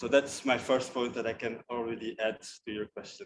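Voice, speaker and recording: This man has a non-native accent. His intonation stays fairly even. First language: not English. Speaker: youth diaspora platform representative. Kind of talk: panel discussion. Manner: halting.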